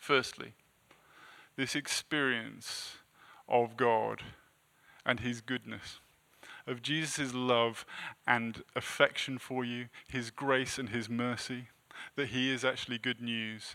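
Speaking very slowly with long, frequent pauses, a man uses a medium-pitched, bright, sharp voice in a monotone, flat delivery. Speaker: preacher. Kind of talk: sermon. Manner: halting.

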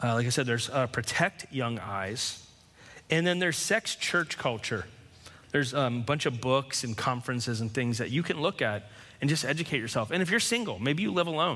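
With a bright, sharp tone and lively intonation, a man speaks at a medium pitch and a fairly quick pace. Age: 40s. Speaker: pastor. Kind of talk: sermon.

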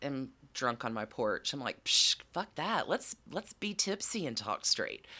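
A woman's bright, sharp voice in a Southern US accent, with vocal fry, very wide pitch swings, a fairly slow pace and hardly any pauses, in a very clean recording with a silent background. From US South. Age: 40s. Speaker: podcaster and corporate training writer. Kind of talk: casual chat. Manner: animated.

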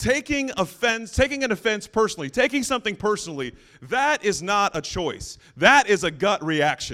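Raised and projected, a man's high, bright, sharp voice swings very widely in pitch at a moderate pace with hardly any pauses, in a very clean recording with a silent background. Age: 40s. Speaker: pastor. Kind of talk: sermon. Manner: informal, humorous.

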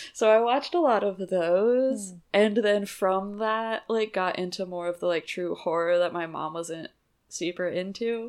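Against a quiet background, a woman with a normal speaking voice talks at a fairly slow pace with ordinary pitch variation. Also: medium pitch for a woman. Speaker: podcast host. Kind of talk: casual chat.

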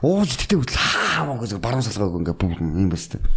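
At a moderate pace, a man speaks with a fairly low pitch and very wide pitch swings. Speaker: bodybuilder and fitness coach. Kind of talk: podcast interview.

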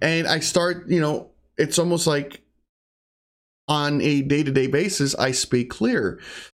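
A man mumbles at a fairly slow pace with long, frequent pauses, his pitch fairly high with ordinary variation and his loudness very even, on a very clean recording with a silent background. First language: Spanish (bilingual). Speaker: podcaster and streamer. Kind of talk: casual solo monologue. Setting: home recording setup. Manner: mumbler.

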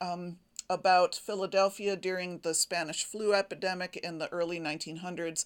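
A woman speaks at a moderate pace and medium pitch in an unremarkable speaking voice, recorded very cleanly against a silent background. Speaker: quilting podcaster. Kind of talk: casual solo podcast monologue. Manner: chatty, informal, self-deprecating.

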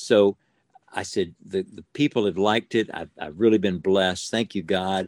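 A man with an unremarkable speaking voice talks at a moderate pace and a fairly low pitch. The sound is dry and close, with no echo. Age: 60s. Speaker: ventriloquist. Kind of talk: casual interview chat. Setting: video call.

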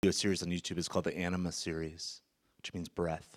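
Male speaker at a fairly quick pace. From US West Coast, San Francisco Bay Area. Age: 40s. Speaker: guest preacher. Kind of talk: sermon. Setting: church stage with congregation.

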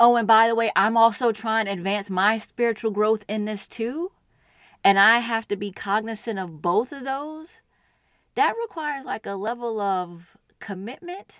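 A woman with a normal speaking voice, a fairly high pitch and ordinary pitch variation, in a very clean recording with a silent background. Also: moderate pace. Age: 40s. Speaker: podcast co-guest and partner of host. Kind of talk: casual conversation.

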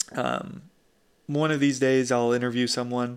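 A man speaks with fairly even intonation. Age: 20s. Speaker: podcast host. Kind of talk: casual solo monologue.

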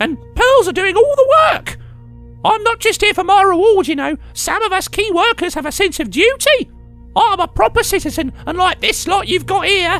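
Someone performs a put-on character voice at a moderate pace. Music is clearly audible in the background. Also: man, extremely high pitch for a man. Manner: indignant, shrill, self-righteous.

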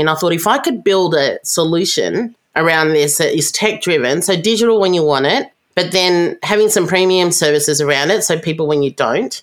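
Speech comes at a fairly quick pace with hardly any pauses, very even loudness and ordinary pitch variation, in a very clean recording with a silent background. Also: woman. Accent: Australian. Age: 50s. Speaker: tech company founder and CEO. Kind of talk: interview conversation.

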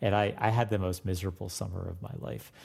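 A man talks at a fairly quick pace in a very deep, low pitch. Vocal fry runs through his voice. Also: very clean recording, silent background. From Florida. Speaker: music professor. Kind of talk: interview.

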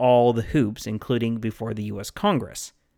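A plain, everyday voice at a fairly quick pace, in dry, close sound with no echo. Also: man. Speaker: history podcast host. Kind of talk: history narration, scripted storytelling. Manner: measured, wry, storyteller pace.

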